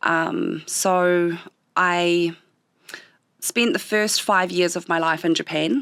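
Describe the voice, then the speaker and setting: Against a silent background in a very clean recording, a woman with a New Zealand accent speaks at fairly low pitch with very even loudness and long, frequent pauses. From southern New Zealand (Otago/Southland). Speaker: small business owner. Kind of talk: interview.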